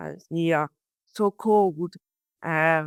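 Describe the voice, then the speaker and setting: A woman with a French accent at a fairly slow pace and fairly even intonation, in a dry, close sound with no echo and a very clean recording with a silent background. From France. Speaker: research biologist. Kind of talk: interview. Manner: halting, many hesitations.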